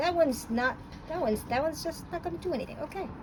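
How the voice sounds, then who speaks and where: A woman's voice with an American accent and very wide pitch swings. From New York. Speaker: paint reviewer. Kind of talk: casual tutorial demonstration. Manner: animated.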